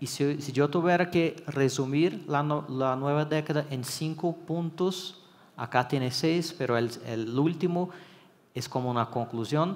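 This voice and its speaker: A man with a Brazilian accent speaks fairly slowly at a fairly high pitch. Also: ordinary pitch variation. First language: Portuguese (speaking Spanish). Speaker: electrical engineering consultant. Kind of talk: conference talk. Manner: hesitant, with fillers and restarts.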